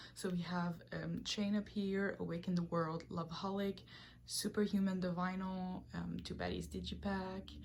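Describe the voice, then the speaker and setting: A woman speaks with a Quebec accent. She talks at a fairly slow pace. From Quebec, Canada. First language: French. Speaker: K-pop collector, video creator. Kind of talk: collection tour video. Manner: casual, hesitant with frequent ums.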